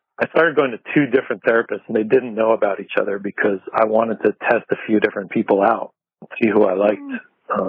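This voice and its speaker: Fairly even intonation and a fairly quick pace from a man with a normal speaking voice, medium in pitch. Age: 40s. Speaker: skateboard journalist and talk show host. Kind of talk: casual chat. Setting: outdoors on patio, remote call.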